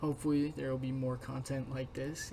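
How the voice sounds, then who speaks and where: Quiet and monotone, a man speaks at a moderate pace in a medium pitch with flat intonation. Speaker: youtuber. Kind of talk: casual vlog commentary. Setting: home room with roommates nearby. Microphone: poor recording quality.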